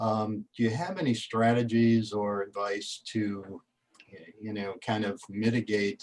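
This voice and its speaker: This man has a normal speaking voice, pitched fairly low, with fairly even intonation. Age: 60s. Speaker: participant, job seeker. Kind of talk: question from audience.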